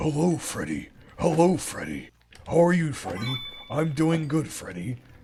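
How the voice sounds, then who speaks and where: Putting on a character voice, a man speaks with fairly high pitch. His pace is moderate. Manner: silly.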